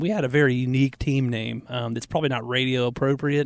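A man with a Southern US accent, fairly high-pitched for a man, at a very fast pace. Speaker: radio host. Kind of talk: casual chat. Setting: studio.

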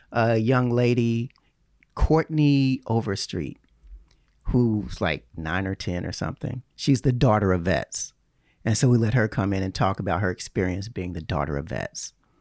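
In an American accent, the speaker has an unremarkable speaking voice, lively intonation and a moderate pace, with a dry, close sound and no echo. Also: man. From Chicago and Southern Illinois. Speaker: Navy veteran, VA trainer. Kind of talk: casual interview.

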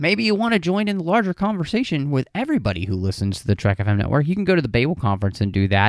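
A man's very fast, upbeat speech with very wide pitch swings over a quiet background. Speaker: podcast host. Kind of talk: casual chat. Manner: animated, laughing, chatty; radio DJ patter, bright upbeat host-speak.

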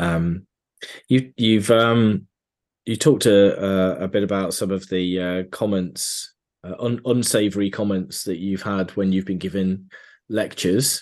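Over a quiet background, a man talks in a plain, everyday voice, fairly low in pitch, with fairly even intonation at a fairly slow pace. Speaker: podcast host. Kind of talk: interview, polite conversational. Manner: polite, encouraging, with fillers.

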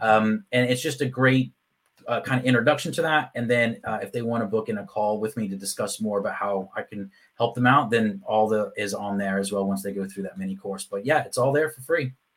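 The speaker has a Texan accent and a fairly quick pace. Pitch moves with ordinary variation. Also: man, medium pitch for a man. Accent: Texan American English. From Texas. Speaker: LinkedIn marketing consultant. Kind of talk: interview.

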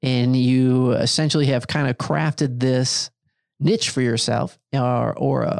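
A man with an American accent, medium pitch and ordinary pitch variation, an ordinary speaking voice. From Michigan. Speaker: podcast host. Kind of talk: casual interview. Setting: studio.

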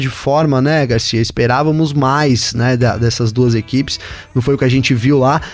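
Music plays behind a man speaking. His tone is animated and his pace moderate. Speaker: motorsport podcast co-host. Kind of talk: casual chat.

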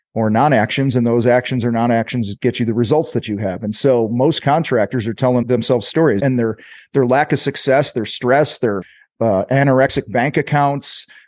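Recorded dry and close with no echo against a quiet background, a plain, everyday voice moves at a moderate pace with ordinary pitch variation. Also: man. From US Midwest (Illinois). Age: 50s. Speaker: business coach and podcast host. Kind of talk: interview.

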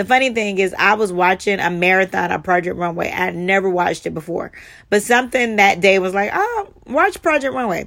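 The speaker talks at a fairly quick pace in a Southern US accent. Pitch varies in an ordinary way. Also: woman, medium pitch for a woman. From US South, Charleston, South Carolina. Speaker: fashion stylist and podcast host. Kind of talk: solo podcast monologue.

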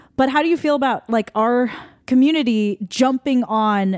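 A woman's plain, everyday voice at a moderate pace with ordinary pitch variation, in a very clean recording with a silent background and a dry, close sound with no echo. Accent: American. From Taiwanese American. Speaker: singer-songwriter and podcast host. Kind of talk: casual chat.

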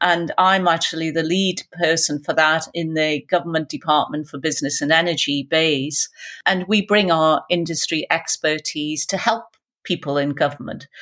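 On a very clean recording with a silent background, a woman with a Geordie accent speaks at a moderate pace, her fairly low voice bright and sharp in tone with fairly even intonation. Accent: Geordie, north-east English. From Newcastle, north-east England. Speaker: business executive. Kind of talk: interview conversation.

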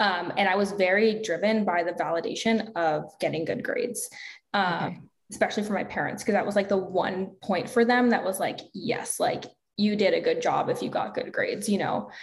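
Someone with an American accent speaks at a fairly quick pace, with audible room echo around the voice. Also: woman. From US South. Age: 20s. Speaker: health and fitness coach, entrepreneur. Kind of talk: interview conversation.

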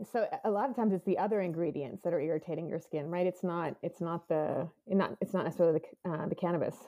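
A woman speaks at a very fast pace with a fairly low pitch. Her pitch variation is ordinary, and there is noticeable background noise. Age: 40s. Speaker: cannabis company executive. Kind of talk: casual interview.

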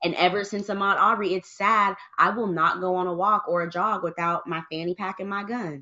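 A woman with an American accent speaks at a fairly quick pace with hardly any pauses, in a normal speaking voice. Her pitch sits in the medium range and her intonation stays fairly even. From US, Michigan. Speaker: gun owner and advocate. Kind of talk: casual chat.

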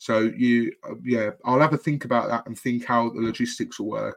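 A man speaks with a Birmingham accent. The background is quiet. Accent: Brummie. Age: 20s. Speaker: football podcast co-host. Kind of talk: casual chat.

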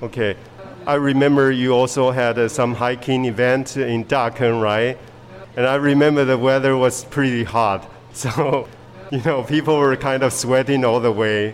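A man with a Mandarin accent talks at a medium pitch and a moderate pace, with fairly even intonation and very even loudness. Music plays in the background. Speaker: podcast host teaching English. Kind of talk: bilingual interview.

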